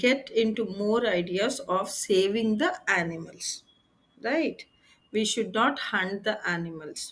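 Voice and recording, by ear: Someone reads aloud in a natural voice with ordinary pitch variation.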